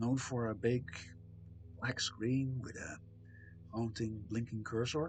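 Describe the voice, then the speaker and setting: Speaking at a very slow pace with long, frequent pauses, a man of medium pitch sounds somewhat breathy and keeps a fairly even intonation. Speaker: streamer. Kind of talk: casual chat. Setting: live stream. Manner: hesitant, many fillers.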